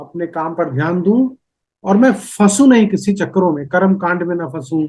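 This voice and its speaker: A man speaks in a high voice. His tone is dark and mellow. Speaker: podcast host. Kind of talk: podcast interview questions.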